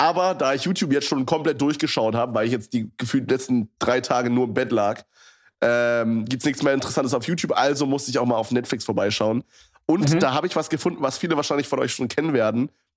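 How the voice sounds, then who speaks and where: A man speaks at a very fast pace. His medium pitch shows ordinary variation. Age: 20s. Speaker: podcast co-host. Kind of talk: casual chat. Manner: casual slangy, many fillers.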